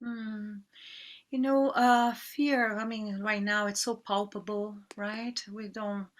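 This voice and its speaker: A woman speaks at a very slow pace. Her fairly high voice has monotone, flat intonation. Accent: Portuguese. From Brazil. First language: Portuguese. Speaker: yoga teacher. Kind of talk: interview. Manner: halting.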